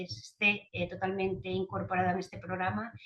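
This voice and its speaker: A woman's voice at medium pitch. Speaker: cardiology nurse speaker. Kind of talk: webinar presentation. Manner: fast.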